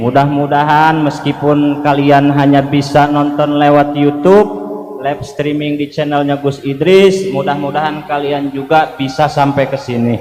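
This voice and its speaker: At a moderate pace with hardly any pauses, a man speaks in a fairly high, monotone voice with flat intonation, with audible room echo and noticeable background noise. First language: Sundanese (speaking Indonesian). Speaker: Islamic preacher. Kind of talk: religious sermon to a live congregation. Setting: stage with live audience, livestreamed.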